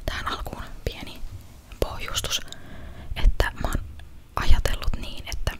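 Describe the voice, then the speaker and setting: A woman is whispering at a fairly slow pace. Noticeable background noise can be heard. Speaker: ASMR content creator. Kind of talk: casual talk to camera, ASMR chat. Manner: soft-spoken, whispered.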